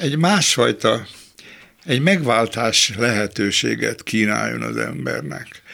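The pace is very slow as a man speaks. He takes long, frequent pauses. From Budapest, Hungary. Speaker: philosopher and critic. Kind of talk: interview.

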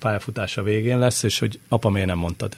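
This man speaks at a very fast pace. His pitch is fairly low. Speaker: football commentator and former player. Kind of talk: casual chat. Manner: halting.

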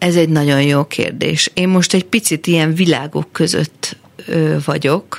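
A woman with a very deep, low voice speaks at a fairly slow pace with fairly even intonation and very even loudness, the sound dry and close with no echo. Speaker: singer-songwriter. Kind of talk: casual interview. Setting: studio.

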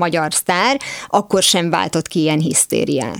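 Delivered in an unremarkable speaking voice, a woman's speech runs at a moderate pace with ordinary pitch variation, in a dry, close sound with no echo. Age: 40s. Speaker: radio host. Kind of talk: radio interview.

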